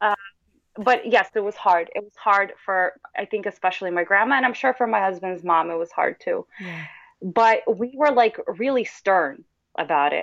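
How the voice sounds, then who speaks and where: This is a woman with a plain, everyday voice, medium in pitch with ordinary pitch variation, talking at a moderate pace. Her loudness swings widely, and the sound is dry and close with no echo over a quiet background. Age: 30s. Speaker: mother of twins. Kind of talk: testimony.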